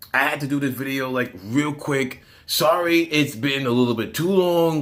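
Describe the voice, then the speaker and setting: Against noticeable background noise, a man with a fairly high pitch speaks using lively intonation. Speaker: storytime vlogger. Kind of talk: casual storytelling vlog. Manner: rambling, babbling.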